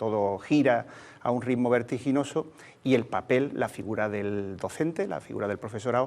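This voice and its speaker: Speaking in an Andalusian accent, a man at a medium pitch keeps a moderate pace. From Andalusia, Cádiz province (Sanlúcar de Barrameda). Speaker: teachers' union leader. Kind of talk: interview. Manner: hesitant, many fillers.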